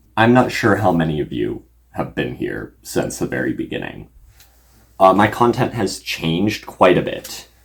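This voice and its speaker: Very deep and low, a man's voice shows vocal fry and very wide pitch swings. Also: moderate pace. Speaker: YouTube content creator. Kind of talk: casual unscripted vlog talk. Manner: halting, many fillers.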